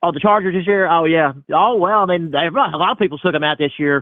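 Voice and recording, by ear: At a fast pace, a man speaks at a fairly high pitch with ordinary pitch variation in a dry, close sound with no echo.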